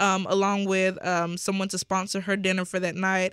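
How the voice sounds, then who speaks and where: A woman speaks at a medium pitch in a bright, sharp tone. The recording is very clean, with a silent background. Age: 20s. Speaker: nonprofit founder. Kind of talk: interview.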